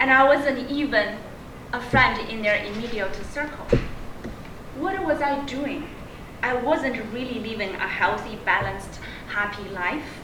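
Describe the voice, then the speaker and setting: A woman with a Chinese accent speaks in a raised, projected, high-pitched voice at a fairly slow pace, with ordinary pitch variation and long, frequent pauses. Noticeable background noise and audible room echo surround her. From China. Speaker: public speaking club member. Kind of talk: prepared speech.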